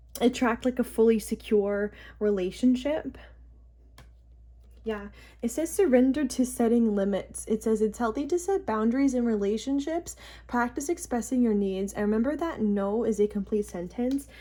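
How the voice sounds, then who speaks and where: On a very clean recording with a silent background, a woman speaks at a moderate pace with a fairly high pitch, ordinary pitch variation, a somewhat breathy quality and a dark, mellow tone. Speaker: tarot reader. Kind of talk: tarot reading to camera. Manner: hesitant, many filler words.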